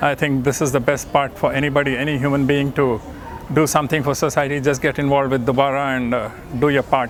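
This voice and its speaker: Over noticeable background noise and audible room echo, a man talks very fast at a fairly high pitch with monotone, flat intonation. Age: old. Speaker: volunteer organizer for elderly care. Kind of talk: testimonial. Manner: halting.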